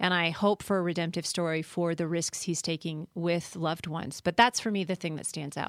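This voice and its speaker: A woman with an American accent and a plain, everyday voice speaks at a fairly quick pace in a fairly low pitch with fairly even intonation and hardly any pauses, on a very clean, dry, close recording with no echo and a silent background. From Colorado, US. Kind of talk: casual chat.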